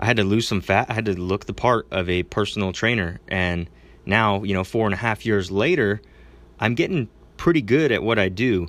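A man speaks in a plain, everyday voice with a fairly low pitch and ordinary pitch variation. The recording is very clean, with a silent background. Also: fairly quick pace. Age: 20s. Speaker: gym owner and podcast host. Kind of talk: casual solo advice talk. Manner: casual, filler-heavy.

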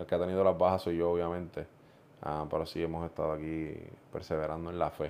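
A man speaks at a very fast pace. His very deep, low voice stays monotone and flat. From Puerto Rico (central, Juntas). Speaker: pastor. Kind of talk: casual chat.

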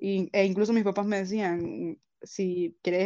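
A woman's dark, mellow voice at a medium pitch, fairly even in intonation, over a quiet background. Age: 20s. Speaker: university law student. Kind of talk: interview testimony.

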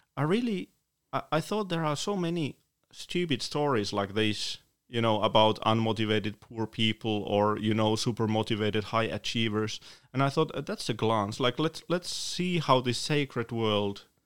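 A man speaks with a Finnish accent and lively intonation. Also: medium pitch for a man, moderate pace, very clean recording, silent background. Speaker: author and poet. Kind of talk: interview. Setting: studio.

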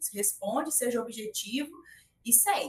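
This woman speaks with a high pitch. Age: 30s. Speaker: tech recruiter and career consultant. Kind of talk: interview conversation.

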